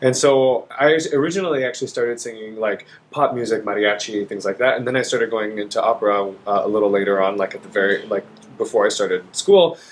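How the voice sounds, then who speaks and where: Speaking very fast in an American accent, this voice has lively intonation. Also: man, medium pitch for a man. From Texas, Dallas. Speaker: opera singer. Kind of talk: casual chat. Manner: animated.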